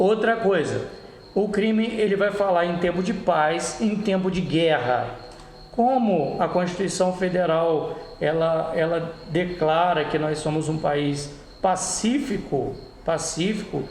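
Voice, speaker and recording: Speaking at a very slow pace with ordinary pitch variation and very even loudness, the voice carries audible room echo over noticeable background noise. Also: man, high pitch for a man. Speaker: law tutor. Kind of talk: lecture. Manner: hesitant, many fillers.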